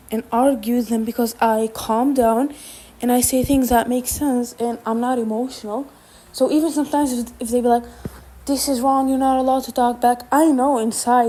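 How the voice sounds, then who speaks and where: A woman with a non-native accent speaks at a fairly quick pace and high pitch, her intonation monotone and flat. Noticeable background noise runs behind her. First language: not English. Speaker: vlogger. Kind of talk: casual monologue. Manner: halting.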